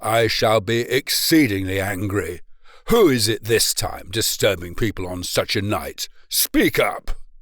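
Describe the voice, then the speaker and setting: In a gruff, put-on character voice at medium pitch, a man speaks at a fairly slow pace. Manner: suspicious, irritable.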